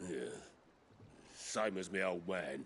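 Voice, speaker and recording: A man's raspy, put-on character voice at a very deep, low pitch with fairly even intonation. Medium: video game. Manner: crude, wry.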